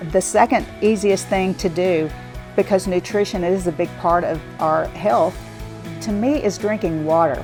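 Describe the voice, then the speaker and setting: A woman speaks at a fairly slow pace in a fairly low pitch, with music playing in the background. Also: ordinary pitch variation. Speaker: fitness trainer. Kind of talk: interview answer.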